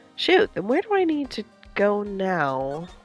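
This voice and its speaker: There is music behind a woman's voice as she talks. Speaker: video game let's player. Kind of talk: casual gameplay commentary.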